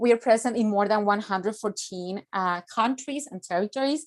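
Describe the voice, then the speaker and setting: A woman with a fairly high voice is heard on a very clean recording with a silent background. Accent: Spanish. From Mexico. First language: Spanish. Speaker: youth organization director. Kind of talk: conference presentation. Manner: halting, many fillers.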